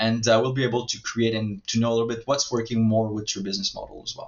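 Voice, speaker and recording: A man with a French accent, medium in pitch, monotone and flat in intonation. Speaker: marketing agency owner. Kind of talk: sales pitch. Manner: halting, many filler words.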